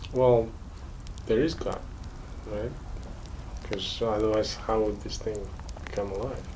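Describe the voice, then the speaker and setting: Someone with a non-native accent speaks at a fairly slow pace, with long, frequent pauses and noticeable background noise. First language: not English. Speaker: massage therapist. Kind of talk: casual conversation during massage.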